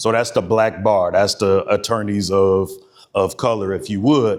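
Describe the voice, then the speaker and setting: Fairly slow speech with fairly even intonation in a very clean recording with a silent background. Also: man, fairly low pitch for a man. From US Midwest, East Cleveland, Ohio. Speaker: speaker, lawyer and war veteran. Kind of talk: speech to an audience. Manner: loud.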